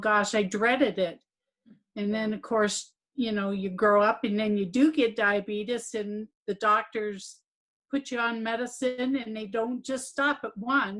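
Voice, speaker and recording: A plain, everyday voice comes through at a fairly slow pace with fairly even intonation against a quiet background. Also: woman. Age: 60s. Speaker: program participant. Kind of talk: testimony.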